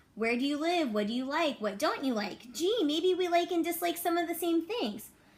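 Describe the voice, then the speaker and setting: A woman speaks with lively intonation. There is noticeable background noise. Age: 30s. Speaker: elementary school teacher. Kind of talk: reading aloud; casual chat.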